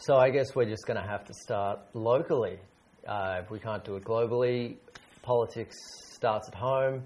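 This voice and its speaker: A man with an Australian accent speaks at a moderate pace in a medium pitch, his intonation fairly even, over noticeable background noise. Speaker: English teacher. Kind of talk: casual word game chat.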